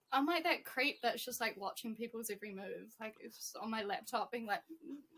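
A woman with a New Zealand accent speaks at a fairly quick pace with lively intonation. Her pitch is high and her tone bright and sharp. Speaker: trainee teacher. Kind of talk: casual chat.

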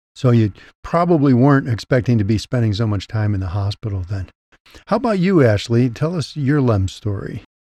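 Against a quiet background, a man with a medium-pitched, dark, mellow tone speaks with lively intonation. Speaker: podcast host. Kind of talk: scripted intro then interview.

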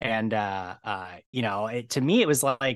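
Against a quiet background, a man speaks with an American accent and ordinary pitch variation. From US Midwest (Medina, Ohio, near Cleveland). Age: 30s. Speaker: tabletop game master and news outlet founder. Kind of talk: casual interview.

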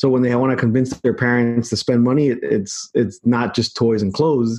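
Here a man speaks in a normal speaking voice at a medium pitch. His pace is moderate. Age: 30s. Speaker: marketing agency CEO. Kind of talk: casual chat.

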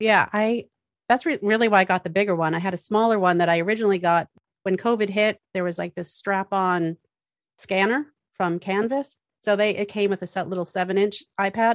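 An ordinary speaking voice, a woman with an American accent talks at a fairly quick pace in a medium pitch with fairly even intonation and a dry, close sound with no echo. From Massachusetts. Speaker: architect. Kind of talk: casual interview.

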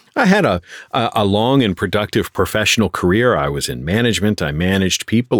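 An ordinary speaking voice, a man's at a fairly low pitch, comes through with a dry, close sound and no echo. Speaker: voice actor and YouTuber. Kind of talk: interview, casual chat. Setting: remote recording, different country from host.

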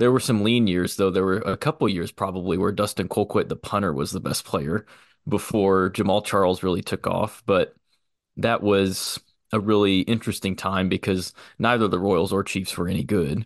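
In a Midwestern US accent, a man with a fairly low pitch talks at a moderate pace with fairly even intonation, the sound dry and close with no echo against a quiet background. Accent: US Midwest. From Missouri, Kansas City area. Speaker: sports museum graduate student. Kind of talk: casual chat.

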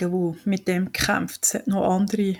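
A woman's medium-pitched, monotone, flat delivery in a very clean recording with a silent background. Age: 40s. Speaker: patient advocate. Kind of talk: interview.

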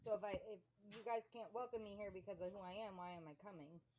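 A woman's medium-pitched voice at a very fast pace, with ordinary pitch variation and noticeable background noise. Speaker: person in addiction recovery. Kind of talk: testimony.

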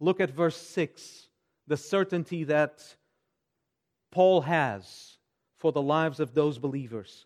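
A man with a Portuguese accent at a fairly slow pace, ordinary pitch variation, on a very clean recording with a silent background. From Portugal. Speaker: pastor. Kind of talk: sermon; church announcements and prayer requests.

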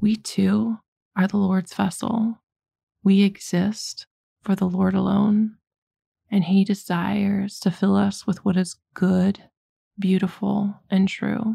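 A woman speaks very slowly at a medium pitch, her dark, mellow, somewhat breathy voice held at very even loudness with monotone, flat intonation and long, frequent pauses. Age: 40s. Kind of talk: faith talk podcast monologue.

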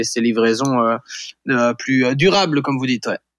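The voice belongs to a man with a medium pitch. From western France, Vendée. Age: 40s. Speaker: startup founder. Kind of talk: interview.

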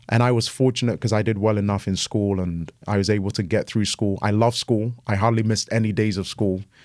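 A man with a British accent, fairly low-pitched and monotone, flat intonation, fairly quick with hardly any pauses, in a very clean recording with a silent background. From Ghana, then raised in England. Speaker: pastor, guest speaker. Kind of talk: casual chat.

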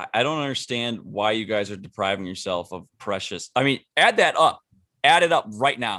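The speaker has a plain, everyday voice. Delivery comes at a moderate pace with lively intonation. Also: man, medium pitch for a man. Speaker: podcast host. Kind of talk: casual chat.

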